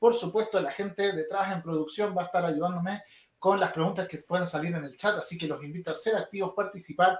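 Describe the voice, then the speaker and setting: A man with a Chilean accent, fairly even intonation and a fairly quick pace. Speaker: esports instructor. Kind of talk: online lecture. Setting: livestream.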